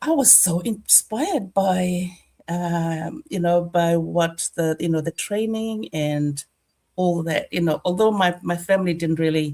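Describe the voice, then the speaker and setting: This is a plain, everyday voice with ordinary pitch variation. It moves at a fairly slow pace. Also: woman. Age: 60s. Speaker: online business owner. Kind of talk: testimony.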